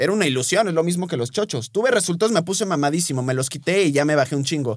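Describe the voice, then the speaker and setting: This man's fairly high voice rises and falls in an ordinary way, and he has an unremarkable speaking voice. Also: very clean recording, silent background. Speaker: nutritionist and podcast host. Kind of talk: casual chat.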